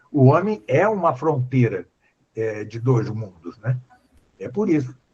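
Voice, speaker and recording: Somewhat breathy, the voice moves at a fairly slow pace with very wide pitch swings. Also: man. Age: 70s. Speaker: philosophy professor. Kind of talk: lecture-style Q&A on a live stream. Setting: live stream. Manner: halting, many fillers.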